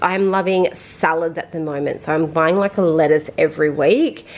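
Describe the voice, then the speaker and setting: A woman with an Australian accent and ordinary pitch variation. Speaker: vlogger. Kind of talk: casual vlog talk. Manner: fast; chatty.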